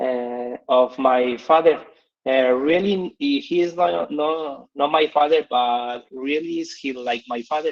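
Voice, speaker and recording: Pitched fairly high, a man talks at a very slow pace with ordinary pitch variation. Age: 30s. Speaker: English learner presenter. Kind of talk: presentation. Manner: halting.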